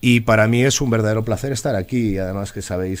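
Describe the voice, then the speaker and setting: A man with a Madrid accent talks at a fairly quick pace with fairly even intonation. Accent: central Spanish (Madrid). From Spain, Alcalá de Henares (Madrid); Spain. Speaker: local politician, former police officer; local politician. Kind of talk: interview. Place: studio. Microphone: studio mic.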